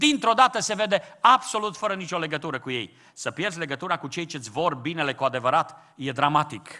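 A man speaks at a moderate pace against a quiet background. His tone is bright and sharp, with very wide pitch swings. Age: old. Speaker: pastor. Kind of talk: sermon. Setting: church. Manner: impassioned. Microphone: podium.

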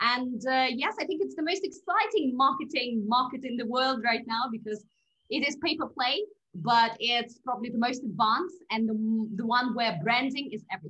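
Her voice is high-pitched, with a bright, sharp tone and lively intonation. This woman keeps a moderate pace. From Russia. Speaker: podcast guest. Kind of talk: interview. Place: home room. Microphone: video call.

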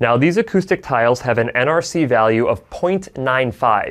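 A man at a medium pitch against a quiet background. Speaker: audiologist. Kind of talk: educational vlog. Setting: studio. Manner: loud. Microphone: lapel.

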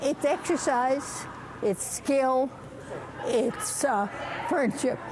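Noticeable background noise runs under a woman's high voice. She speaks at a very slow pace. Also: lively intonation. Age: 80s+. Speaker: curler. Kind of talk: interview answer. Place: stadium. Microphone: phone near.

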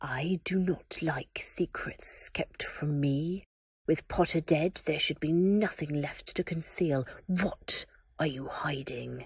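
In a put-on character voice at a middle pitch, the speaker hisses in a menacing tone at a fairly slow pace. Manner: hissing, menacing.

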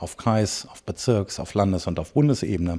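A man speaks with a dark, mellow tone at a fairly low pitch. The background is quiet. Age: 40s. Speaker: farmer and party politician; party politician. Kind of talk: political interview. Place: office. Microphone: handheld.

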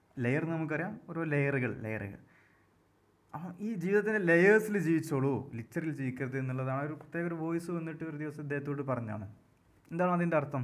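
A man speaks at a fairly high pitch with ordinary pitch variation. Room echo is audible. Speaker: English literature tutor. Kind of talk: lecture.

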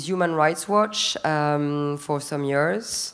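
A woman speaks at a fairly slow pace in a plain, everyday voice. Her pitch variation is ordinary. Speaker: business executive and human rights advocate; panelist. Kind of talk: panel discussion. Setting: stage with audience. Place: stage. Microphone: handheld.

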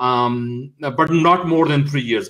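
The delivery is slow, with a fairly bright tone and ordinary pitch variation. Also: man, medium pitch for a man.

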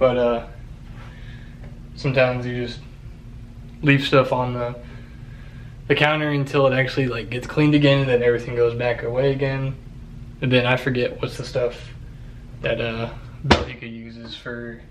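Delivery runs at a moderate pace with long, frequent pauses and monotone, flat intonation. Light background noise is present. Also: man. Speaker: home vlogger. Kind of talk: casual vlog chat. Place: bathroom. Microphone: phone near.

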